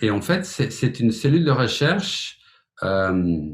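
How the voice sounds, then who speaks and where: Very slowly, a man speaks in a somewhat breathy voice with very wide pitch swings. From Flemish Belgium. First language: Flemish (Dutch) (speaking French). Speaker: music teacher, piano pedagogue. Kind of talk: webinar presentation. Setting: online webinar. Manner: hesitant, with filler words.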